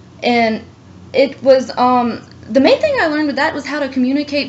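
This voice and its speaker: Noticeable background noise behind a voice of ordinary pitch variation. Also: woman. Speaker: college student applicant. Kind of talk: job interview. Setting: phone call. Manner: hesitant, many fillers.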